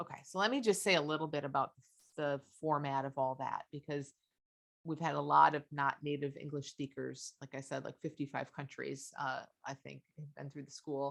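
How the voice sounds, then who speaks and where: A woman's very deep, low voice with vocal fry, fairly even intonation and big swings in loudness. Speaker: life coach. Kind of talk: webinar Q&A. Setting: video call webinar. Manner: fast.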